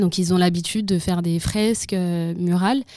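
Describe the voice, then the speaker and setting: On a very clean recording with a silent background, a dark, mellow tone moves at a fairly slow pace with fairly even intonation. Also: woman. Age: 20s. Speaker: civic service volunteer at an arts association. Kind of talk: interview. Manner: hesitant, many fillers.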